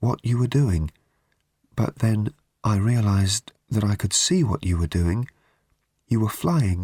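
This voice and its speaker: In a put-on character voice, a man speaks shakily at a fairly low pitch and a fairly slow pace, with long, frequent pauses and a dry, close sound with no echo. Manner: amazed, hushed.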